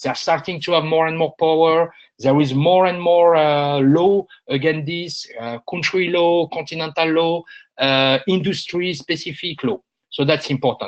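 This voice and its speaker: Talking at a moderate pace, a man with a French accent keeps a fairly high pitch and fairly even intonation. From France. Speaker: industry analyst. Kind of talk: webinar presentation. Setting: online webinar. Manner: hesitant, many filler sounds.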